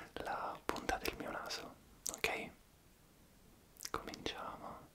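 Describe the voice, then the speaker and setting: At a very slow pace, a man delivers his words in a whisper. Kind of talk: soft-spoken roleplay instructions. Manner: soft, hushed ASMR doctor voice.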